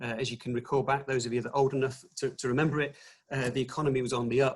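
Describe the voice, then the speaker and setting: This man talks with an English accent at a medium pitch. His intonation is monotone and flat. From England, Nottingham. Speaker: retail executive. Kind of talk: webinar presentation. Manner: hesitant, many fillers.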